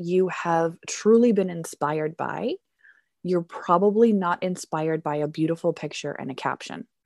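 In a Canadian accent, a woman talks at a moderate pace and medium pitch with a dark, mellow tone and ordinary pitch variation, the sound dry and close with no echo over a quiet background. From Canada. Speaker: teacher and teacher mentor. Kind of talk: casual chat.

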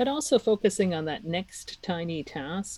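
The voice is somewhat breathy and moves at a fairly slow pace. Its intonation is lively. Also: woman. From Czech Republic. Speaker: knitting teacher and online course owner. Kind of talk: interview.

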